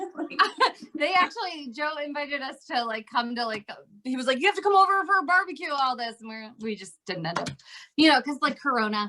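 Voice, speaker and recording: Speaking in a raised, projected voice with an American accent, a woman moves at a fairly quick pace with a high pitch and very wide pitch swings. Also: big swings in loudness. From New Jersey. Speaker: comedian and actor. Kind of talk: interview answer. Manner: casual, chatty.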